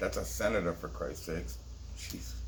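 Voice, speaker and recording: An animated man's voice with vocal fry, very wide pitch swings and audible room echo. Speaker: conspiracy video host. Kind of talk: casual monologue commentary.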